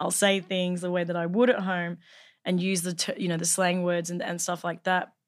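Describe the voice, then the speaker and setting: In a Northern Territory accent, a woman speaks at a moderate pace with fairly low pitch. Her intonation is monotone and flat, on a very clean recording with a silent background. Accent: Australian, Northern Territory. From Northern Territory, Australia. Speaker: actor. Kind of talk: casual chat. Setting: studio.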